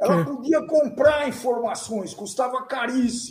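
A man's extremely high-pitched voice at a very slow pace. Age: 70s. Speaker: entrepreneur, host's father. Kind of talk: casual chat.

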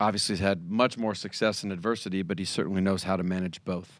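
A man talks at a fairly quick pace with an American accent and a very deep, low pitch. The recording is very clean, with a silent background. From US Pacific Northwest, Seattle. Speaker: mental conditioning consultant. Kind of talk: interview. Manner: halting, with repeated words and fillers.

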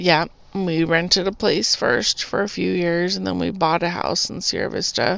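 With an American accent, a woman talks at a fairly low pitch and a moderate pace. Her voice has vocal fry and ordinary pitch variation. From Arizona, US (Tucson). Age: 40s. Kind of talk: testimony. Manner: casual, rambling with fillers.

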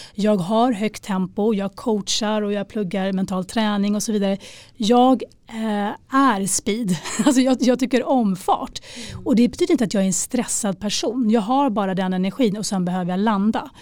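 In a plain, everyday voice, a woman speaks at a moderate pace and a fairly high pitch with ordinary pitch variation. The recording is very clean with a silent background. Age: 40s. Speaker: life coach. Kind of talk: casual chat.

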